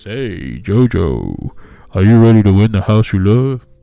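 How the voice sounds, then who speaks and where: A man puts on a character voice at a fairly low pitch. He speaks at a moderate pace. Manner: gentle, reassuring.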